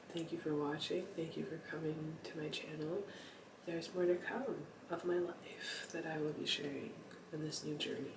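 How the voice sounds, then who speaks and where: Whispering at a moderate pace, a man is heard with audible room echo and noticeable background noise. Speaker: lifestyle vlogger. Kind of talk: casual late-night vlog monologue. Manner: halting, many fillers.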